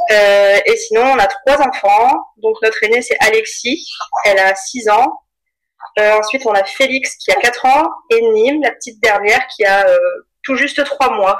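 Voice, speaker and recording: High-pitched woman's voice with a slight northern French accent, lively intonation and a fairly slow pace. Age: 30s. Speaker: mother sharing birth story, small business owner. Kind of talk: testimony. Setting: at home with baby present.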